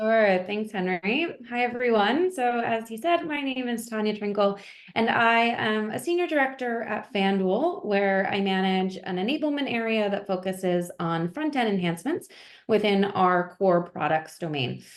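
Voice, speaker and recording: In an American accent, a woman with fairly high pitch talks at a moderate pace. Hers is an unremarkable speaking voice with lively intonation. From US, Pennsylvania (north of Philadelphia). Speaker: engineering director. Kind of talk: webinar interview. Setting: video call.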